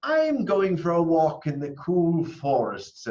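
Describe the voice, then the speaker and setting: Pitched high, a man's put-on character voice moves along at a fairly slow pace. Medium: read story. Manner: sly, wheedling.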